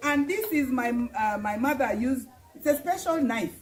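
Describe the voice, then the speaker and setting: Against noticeable background noise, the voice moves fairly slowly with very wide pitch swings. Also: woman. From northern Uganda (Lugbara). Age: 60s. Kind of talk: casual conversation about culture. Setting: live stream.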